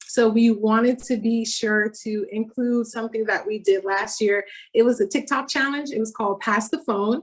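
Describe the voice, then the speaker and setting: At a fairly quick pace, a woman speaks in a fairly high pitch, somewhat breathy and with fairly even intonation. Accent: Miami. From Miami, Florida (Haitian family). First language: Haitian Creole. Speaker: doctoral researcher presenter. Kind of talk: academic presentation.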